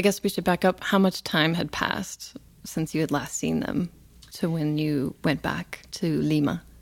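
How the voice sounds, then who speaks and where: Over a silent background in a very clean recording, a woman talks at a moderate pace with a very deep, low pitch, fairly even intonation and vocal fry. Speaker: radio host. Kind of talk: interview. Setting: studio.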